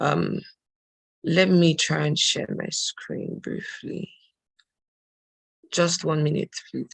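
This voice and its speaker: A very slow pace with long, frequent pauses. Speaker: program officer at women's studies center. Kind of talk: webinar presentation. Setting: video call.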